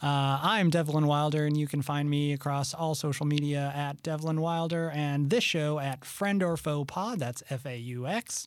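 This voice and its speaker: A man speaks at a moderate pace with a fairly high pitch, ordinary pitch variation and hardly any pauses, in an ordinary speaking voice. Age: 30s. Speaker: podcast host. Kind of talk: casual chat. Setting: studio.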